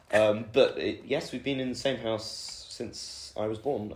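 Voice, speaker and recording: Fairly slow speech with audible room echo. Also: man. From southern England, Oxfordshire (Woodstock). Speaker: university student. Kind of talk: podcast interview. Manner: hesitant, many fillers.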